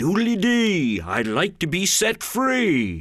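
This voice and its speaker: A man's put-on character voice, high-pitched and sing-song, at a very slow pace. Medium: read story. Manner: jolly, sing-song rhymes.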